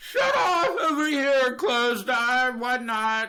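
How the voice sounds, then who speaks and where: A man with an American accent, his raised, projected voice extremely high-pitched and bright, sharp in tone, at a very slow pace with ordinary pitch variation. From North Carolina. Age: 20s. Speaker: design engineer, deaf guest. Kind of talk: interview.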